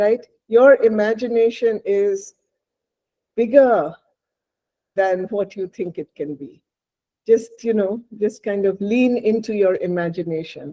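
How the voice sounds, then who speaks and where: A woman with a Bengali accent speaks at a fairly slow pace, leaving long, frequent pauses. Her fairly high voice has a dark, mellow tone and ordinary pitch variation. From India, Bengal. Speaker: novelist. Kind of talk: interview.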